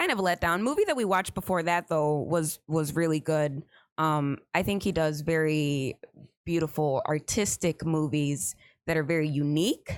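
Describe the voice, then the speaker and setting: At a moderate pace, a woman with a very deep, low voice speaks with ordinary pitch variation and very even loudness on a very clean recording with a silent background. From Puerto Rico. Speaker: podcast guest. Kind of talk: casual chat.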